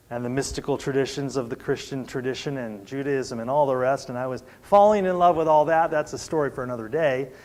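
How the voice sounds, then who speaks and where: A man with an American accent and a normal speaking voice, fairly high in pitch, with ordinary pitch variation and a fairly quick pace. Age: 60s. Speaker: preacher. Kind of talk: sermon. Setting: church service.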